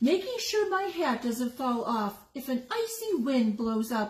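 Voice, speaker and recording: In a put-on character voice, a woman speaks high-pitched at a fairly slow pace. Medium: read story. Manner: insistent.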